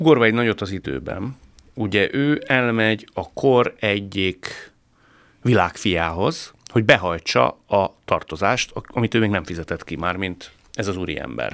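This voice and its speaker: A man with a fairly low voice and vocal fry speaks at a fairly slow pace, his intonation lively. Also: quiet background. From Hungary. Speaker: podcast host. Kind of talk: interview discussion. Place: studio. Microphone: studio mic.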